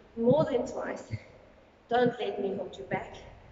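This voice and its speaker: There is audible room echo and noticeable background noise as a woman speaks at a moderate pace in a high voice with fairly even intonation. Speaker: fitness instructor. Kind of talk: workout instruction. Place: gym. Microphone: camera far.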